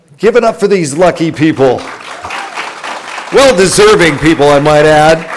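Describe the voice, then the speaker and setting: Over crowd noise in the background, a man speaks at a moderate pace in a fairly high voice, animated and with lively intonation, keeping a very even loudness and taking long, frequent pauses. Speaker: radio host, event emcee. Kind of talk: event hosting. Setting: live event with audience.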